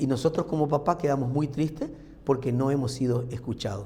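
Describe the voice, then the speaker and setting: A man speaks at a fairly quick pace in a medium pitch, with a dark, mellow tone. His voice is somewhat breathy, and the room echo is audible. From Argentina, Formosa/Corrientes. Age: 60s. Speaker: pastor. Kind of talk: sermon. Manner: conversational, uses rhetorical questions.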